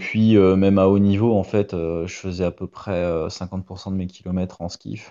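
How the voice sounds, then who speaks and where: This man has a very deep, low pitch and a monotone, flat intonation. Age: 30s. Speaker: retired Olympic rower. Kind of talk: interview. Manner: hesitant, many fillers.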